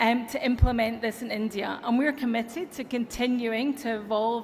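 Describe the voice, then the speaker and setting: A woman's fairly high voice with an American accent, at a moderate pace, in audible room echo. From Europe. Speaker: tech company executive. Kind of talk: conference keynote speech. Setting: stage with audience.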